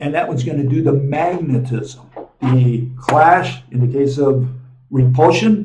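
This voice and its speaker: Audible room echo surrounds a man whose somewhat breathy, dark, mellow tone comes at a fairly slow pace. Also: fairly high pitch for a man, ordinary pitch variation. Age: 70s. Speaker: physics lecturer and channel host. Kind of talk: lecture. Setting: on the road, traveling. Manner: casual, with many fillers. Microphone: small camera mic, sound may be poor.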